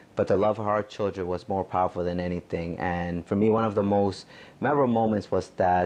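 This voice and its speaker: A man with a normal speaking voice talks at a moderate pace, his fairly low pitch held in fairly even intonation. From Mexico, moved to US as a child. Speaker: attorney. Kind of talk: testimony.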